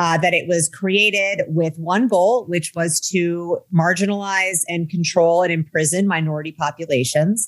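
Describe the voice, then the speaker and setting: A woman speaks in an American accent with an ordinary speaking voice, her pitch fairly low. The pace is moderate, with hardly any pauses and fairly even intonation. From US Midwest. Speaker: cannabis activist and entrepreneur. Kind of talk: interview.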